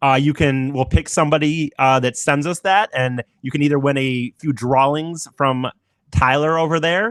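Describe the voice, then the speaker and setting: A man's fairly high voice at a moderate pace, with fairly even intonation, in a very clean recording with a silent background and a dry, close sound without echo. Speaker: podcast host. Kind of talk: casual chat. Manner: talking funny.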